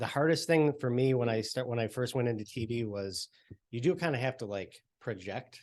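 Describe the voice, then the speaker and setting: A man's mumbling voice at medium pitch, with lively intonation and a moderate pace. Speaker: TV reporter. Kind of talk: panel discussion. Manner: soft-spoken.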